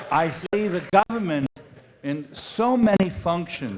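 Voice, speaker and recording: Noticeable background noise surrounds a man whose pitch rises and falls very widely. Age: 80s+. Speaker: audience member. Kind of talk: audience question.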